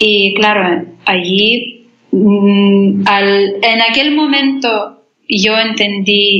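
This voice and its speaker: A woman speaks with a Lithuanian accent. Her loudness stays very even throughout. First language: Lithuanian (speaking Spanish). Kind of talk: faith testimony. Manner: halting.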